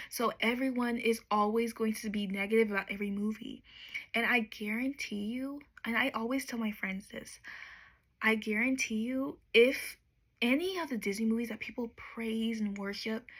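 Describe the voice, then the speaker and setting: A woman speaks softly. Her pitch varies in an ordinary way. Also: moderate pace. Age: 20s. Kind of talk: ASMR soft-spoken rant to camera. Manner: soft-spoken.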